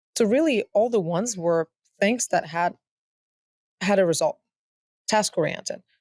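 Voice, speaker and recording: A woman with a non-native accent and a medium pitch speaks at a moderate pace with lively intonation and long, frequent pauses, the sound dry and close with no echo. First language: not English. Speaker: tech startup founder. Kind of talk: interview conversation.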